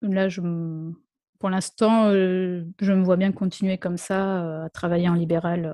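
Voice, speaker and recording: Speaking very slowly, a woman uses a medium pitch and a dark, mellow tone with monotone, flat intonation. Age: 30s. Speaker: speech therapist. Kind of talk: interview.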